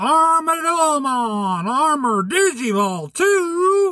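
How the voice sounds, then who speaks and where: In a put-on character voice with a Southern US accent, the speaker draws out words at a very slow pace in a high pitch. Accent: country, southern. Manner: excited, shouting a catchphrase.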